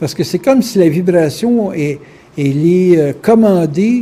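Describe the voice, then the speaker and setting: With a Quebec accent, a man speaks at a high pitch and ordinary pitch variation. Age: 60s. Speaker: spiritual lecturer. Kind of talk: lecture. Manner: casual, conversational.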